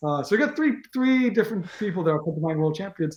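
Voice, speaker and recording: He speaks with an American accent. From Israel. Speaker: games tournament organizer and team captain. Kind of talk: interview. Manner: halting, many fillers and restarts.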